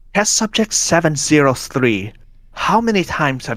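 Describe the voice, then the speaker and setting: A man puts on a character voice, breathy and fairly high-pitched, with very wide pitch swings. He keeps a moderate pace on a very clean recording with a silent background. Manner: soft.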